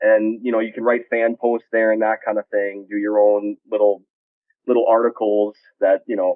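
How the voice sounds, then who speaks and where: An American-accented man at a moderate pace, medium pitch, monotone and flat in intonation. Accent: Minnesota, sometimes strong. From Minnesota. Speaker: sports blog editor. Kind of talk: podcast interview. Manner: casual, hesitant with fillers.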